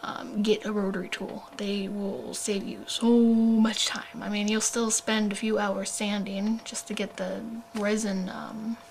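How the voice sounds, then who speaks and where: Quiet speech at a fairly slow pace with hardly any pauses, over noticeable background noise. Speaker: doll hobbyist vlogger. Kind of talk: tutorial. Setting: at home late at night. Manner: hesitant, many fillers.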